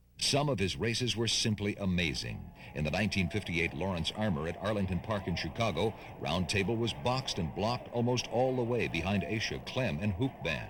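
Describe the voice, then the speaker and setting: This man has an unremarkable speaking voice, fairly low in pitch. His intonation is lively and his loudness very even. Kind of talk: documentary narration about racing history.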